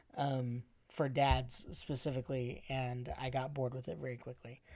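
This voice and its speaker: With an American accent, a man talks at a moderate pace and medium pitch in an unremarkable speaking voice, on a very clean recording with a silent background. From Arizona. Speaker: podcast host, father of twins. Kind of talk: casual chat.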